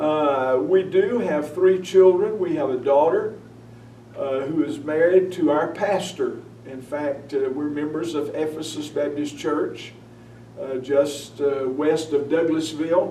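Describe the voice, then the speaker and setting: Over noticeable background noise and audible room echo, a man with a Southern US accent speaks at a fairly slow pace and a fairly high pitch. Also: ordinary pitch variation. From North Carolina (Hickory area). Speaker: newspaper editor and preacher. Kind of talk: interview. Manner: hesitant with frequent uh.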